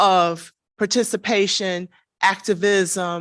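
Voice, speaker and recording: A woman speaks loudly and very slowly at a medium pitch. The background is quiet. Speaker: panelist, activist. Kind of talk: panel discussion. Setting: room with live audience.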